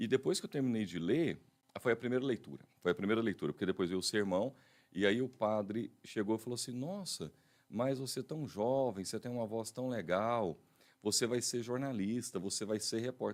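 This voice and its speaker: A man speaks at a moderate pace with a medium pitch and ordinary pitch variation. His is a plain, everyday voice. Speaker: radio and TV announcer. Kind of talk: interview answer telling his career story.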